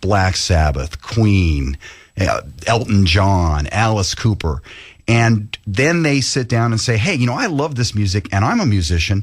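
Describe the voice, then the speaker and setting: This man talks at a fairly slow pace in a fairly low, somewhat breathy voice. His loudness stays very even while his pitch swings very widely. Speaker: tribute band founder and attorney. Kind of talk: radio interview.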